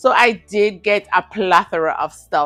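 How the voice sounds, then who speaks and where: A woman speaks in a Jamaican accent with ordinary pitch variation. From Jamaica, Saint Ann. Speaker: home decor vlogger. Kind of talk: casual shopping haul vlog. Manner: giggles nervously.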